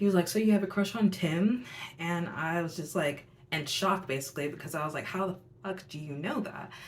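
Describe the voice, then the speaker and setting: Audible room echo fills the recording. A woman speaks at a fairly quick pace. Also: fairly low pitch for a woman, ordinary pitch variation. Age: 20s. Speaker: youtuber, tarot reader. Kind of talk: storytelling monologue. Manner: casual, filler-heavy.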